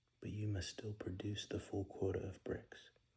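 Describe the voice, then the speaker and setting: Quiet whispering at a moderate pace. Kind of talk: Bible reading. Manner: whispered, quiet.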